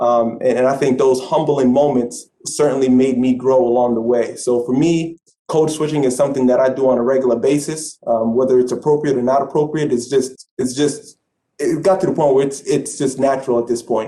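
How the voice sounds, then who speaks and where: In a New York accent, a man with a dark, mellow tone and medium pitch talks at a fairly quick pace, with fairly even intonation and very even loudness. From Brooklyn, New York. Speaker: sports management alumnus, aspiring athletic director. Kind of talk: panel discussion. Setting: video call.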